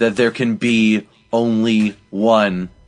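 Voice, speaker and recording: A booming, put-on character voice from a man, medium in pitch and flat, monotone in intonation. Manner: dramatic, portentous.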